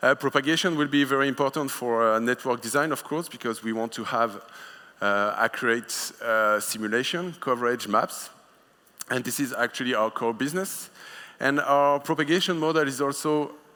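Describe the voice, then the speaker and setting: Bright, sharp in tone, a man with a French accent speaks at a moderate pace and medium pitch with ordinary pitch variation. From France. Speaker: conference speaker, wireless product manager. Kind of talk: conference talk. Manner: hesitant, many filler sounds.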